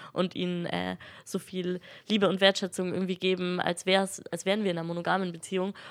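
A woman's voice sits at medium pitch. The intonation stays monotone and flat. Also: very clean recording, silent background. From Franconia, Germany (near Nuremberg). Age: 20s. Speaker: teacher-training student. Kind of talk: interview.

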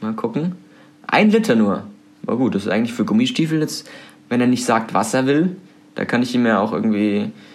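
A man at a medium pitch, fairly quick pace and very wide pitch swings. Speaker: student radio host. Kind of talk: casual chat. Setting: student room.

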